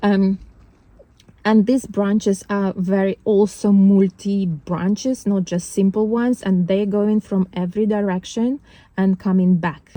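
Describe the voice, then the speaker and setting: With a non-native accent, a woman speaks at a fairly slow pace in a dark, mellow tone with fairly even intonation and a dry, close sound free of echo. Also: medium pitch for a woman. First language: not English. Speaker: spiritual vlogger. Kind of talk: casual monologue vlog. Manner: halting, many fillers and restarts.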